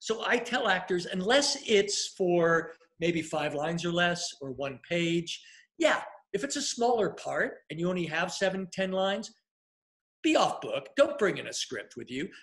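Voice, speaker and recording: A man speaks at a fairly slow pace with a high pitch and lively intonation. The background is quiet. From US. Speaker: casting director and acting coach; acting coach. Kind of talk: live Q&A interview. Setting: livestream video. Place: home room. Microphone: webcam.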